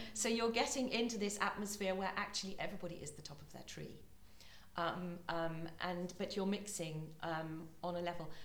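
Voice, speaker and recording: Over noticeable background noise and audible room echo, a woman with a British accent speaks at a moderate pace and medium pitch, with ordinary pitch variation and big swings in loudness. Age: 50s. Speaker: music school principal. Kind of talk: podcast interview. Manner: hesitant, many fillers.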